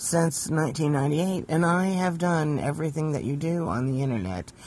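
At a moderate pace, a man talks in a normal speaking voice at a fairly high pitch. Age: 50s. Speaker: former truck driver. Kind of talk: voice message.

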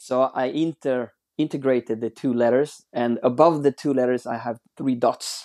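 With a Swedish accent, a man speaks at a medium pitch and a moderate pace, his intonation fairly even and his tone dark and mellow. The sound is dry and close with no echo, over a quiet background. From Sweden. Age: 40s. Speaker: watch brand founder. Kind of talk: interview. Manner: halting.

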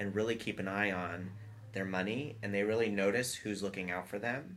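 A man with an American accent and an unremarkable speaking voice, fairly low in pitch, with fairly even intonation at a moderate pace. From US South, Atlanta. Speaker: architecture and design firm principal. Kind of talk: casual interview chat.

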